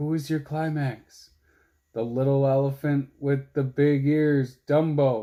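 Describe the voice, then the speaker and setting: Using a put-on character voice, a man speaks at a fairly slow pace with fairly high pitch. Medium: read story. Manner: eager, encouraging.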